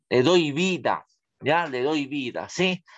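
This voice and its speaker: Over a quiet background, a man speaks very slowly in a high pitch with a bright, sharp tone. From Peru, Huánuco; Peru. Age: 30s. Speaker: school religion teacher. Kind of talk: online class lecture. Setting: video call. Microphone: webcam.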